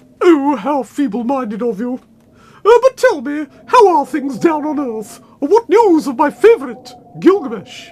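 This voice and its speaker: This is a cartoonish character voice pitched high. It moves at a moderate pace. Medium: puppet. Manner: indignant.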